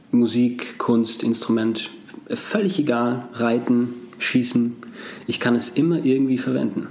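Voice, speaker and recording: Fairly even intonation and a fairly slow pace come through noticeable background noise and audible room echo. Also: man, medium pitch for a man. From Austria, Salzburg. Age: 20s. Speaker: actor and former dancer. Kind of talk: interview conversation.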